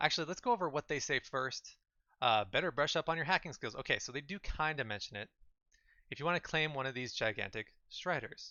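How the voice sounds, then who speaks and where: A man speaks at a fairly high pitch and a fairly quick pace. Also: lively intonation. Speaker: gaming streamer. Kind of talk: live stream commentary. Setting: live stream. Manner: loud; animated.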